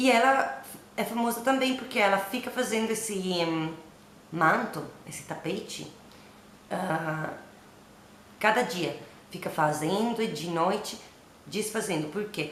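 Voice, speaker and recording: Against noticeable background noise and audible room echo, a woman with an Italian accent speaks at a fairly slow pace with long, frequent pauses, a medium pitch and lively intonation. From Italy. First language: Italian (speaking Portuguese). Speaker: literature workshop teacher. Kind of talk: lecture. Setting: at home. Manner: halting.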